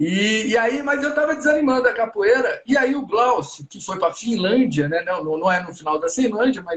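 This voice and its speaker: Using very wide pitch swings, a man speaks at a moderate pace in a high pitch. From Brazil. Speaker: podcast host. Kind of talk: casual interview.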